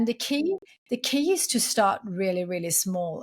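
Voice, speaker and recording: A woman speaks with a Swedish accent in a medium pitch, her voice somewhat breathy. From Sweden. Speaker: entrepreneur and podcast host. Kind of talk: interview.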